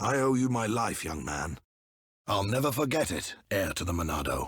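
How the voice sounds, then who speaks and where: In a put-on character voice, a man speaks with raspiness at a medium pitch. His pitch swings very widely at a moderate pace. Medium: video game. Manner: formal, solemn.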